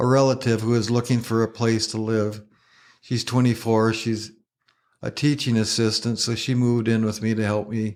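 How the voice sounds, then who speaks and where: The recording is very clean, with a silent background, and a man with an American accent speaks at a medium pitch. His pace is moderate and his intonation monotone and flat. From US Midwest, northwest Iowa. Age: 60s. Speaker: retired garden center owner with Parkinson's. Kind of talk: podcast interview, personal testimony. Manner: halting, repeats words.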